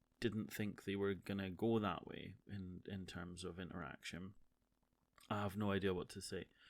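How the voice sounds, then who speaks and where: With a Scottish accent, a man speaks at a fairly low pitch and a moderate pace. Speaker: streamer and podcaster. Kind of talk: casual monologue. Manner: halting.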